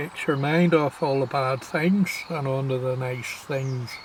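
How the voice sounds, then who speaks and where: A man's fairly high voice in a Scottish accent, very slow and relaxed, with fairly even intonation over noticeable background noise. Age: 60s. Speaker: wildlife vlogger. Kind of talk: casual vlog monologue. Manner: reflective, relaxed.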